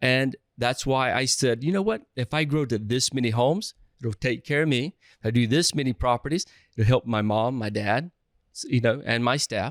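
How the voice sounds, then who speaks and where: A man with an American accent speaks at a moderate pace, at a medium pitch with ordinary pitch variation. The recording is very clean with a silent background and a dry, close sound with no echo. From US South. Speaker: real estate investor. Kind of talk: podcast interview. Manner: halting, frequent restarts.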